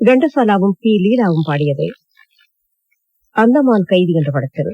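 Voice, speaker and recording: Her voice is medium in pitch, dark and mellow in tone, swinging very widely in pitch, and this woman sounds dry and close with no echo. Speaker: radio announcer. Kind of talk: radio program announcement. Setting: radio broadcast.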